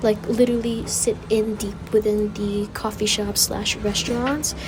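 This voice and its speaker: Quiet, monotone delivery with flat intonation at a moderate pace, over noticeable background noise. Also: woman. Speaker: travel vlogger. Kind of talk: vlog voiceover commentary. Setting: university library reading pavilion. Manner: quieter; casual, filler-heavy.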